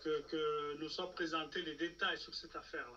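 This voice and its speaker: A man with a fairly high pitch and a bright, sharp tone speaks over light background noise. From Democratic Republic of the Congo. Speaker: political commentator. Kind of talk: political talk show discussion. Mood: serious, argumentative. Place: home room. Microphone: video call.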